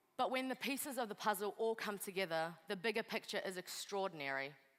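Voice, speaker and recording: A woman talks at a fairly quick pace with a New Zealand accent. Her pitch is medium and her intonation lively. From New Zealand, Kurdish refugee family via Pakistan. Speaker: lawyer and refugee advocate. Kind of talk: motivational speech.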